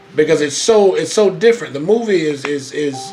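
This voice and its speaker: A man with ordinary pitch variation, music in the background. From Florida, Daytona Beach. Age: 20s. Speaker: radio host. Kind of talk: radio talk show. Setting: radio studio. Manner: animated, fiery; repetitive, stammering restarts.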